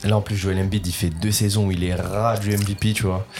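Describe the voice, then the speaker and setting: Slowly and in a flat monotone, a man talks with a fairly low pitch. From northern France, Lille area. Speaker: basketball content creator. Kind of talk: casual chat.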